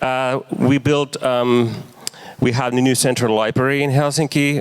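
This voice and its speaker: A man at medium pitch, moderate pace, over noticeable background noise. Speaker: marketer and urban activist. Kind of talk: lecture. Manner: halting, many fillers.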